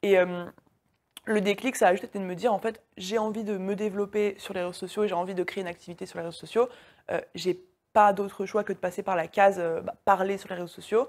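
Speaking at a fairly quick pace, a woman at medium pitch keeps a monotone, flat intonation while her loudness swings widely. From France. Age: 20s. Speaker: online business coach. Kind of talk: interview.

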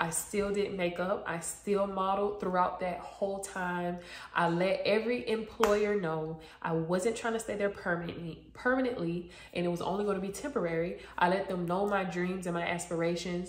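With an American accent, the speaker keeps a moderate pace and fairly even intonation, and room echo is audible. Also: woman. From South Florida, Broward County; Florida. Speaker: YouTuber and makeup artist; YouTuber. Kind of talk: casual chat. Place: home room. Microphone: phone near.

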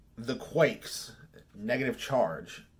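A man is speaking. His voice has vocal fry. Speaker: music collector vlogger. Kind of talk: casual vlog chat. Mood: upbeat, enthusiastic. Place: home room. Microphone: phone near.

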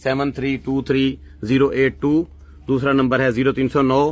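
A man speaks at a fairly slow pace. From Pakistan, Punjab (Multan); Punjab, Pakistan. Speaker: herbal medicine seller. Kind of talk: sales pitch. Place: shop. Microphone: phone near.

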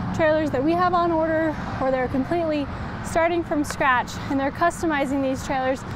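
A woman's voice at a moderate pace, ordinary pitch variation, dry sound with no echo, and noticeable background noise. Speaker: presenter. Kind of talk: live product walkaround presentation. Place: street.

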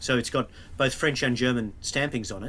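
A man's bright, sharp voice with an Australian accent. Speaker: museum curator. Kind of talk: illustrated talk. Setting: video call. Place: office.

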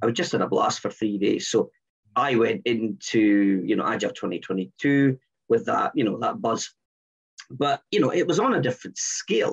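A man with a Scottish accent, at a moderate pace and very even loudness, against a quiet background. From Scotland, Edinburgh. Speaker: engineering lead and agile coach. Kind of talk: casual chat. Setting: video call. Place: home room. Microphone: headset.

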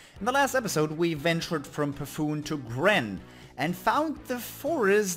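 With music in the background, a man with a German accent speaks at a fairly slow pace, his pitch swinging very widely. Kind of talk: video game let's play commentary.

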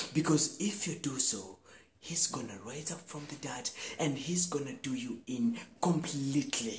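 A man speaks with very wide pitch swings. Light background noise sits behind him. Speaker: actor performing a scene. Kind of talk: dramatic monologue performance. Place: home room. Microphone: lapel.

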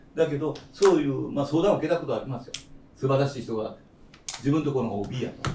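Over light background noise and audible room echo, a man with a fairly high voice talks very fast, his pitch varying in an ordinary way. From Kyushu, Japan; Japan. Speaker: veteran chef. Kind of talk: roundtable discussion. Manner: long-winded. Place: cafe.

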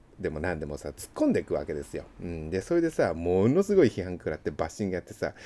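This man's voice has a dark, mellow tone and swings very widely in pitch. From Japan, Yokohama; Japan. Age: 40s. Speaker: seal engraver and channel host; channel host. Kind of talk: casual monologue while working. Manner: casual, chatty. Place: shop. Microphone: phone near.

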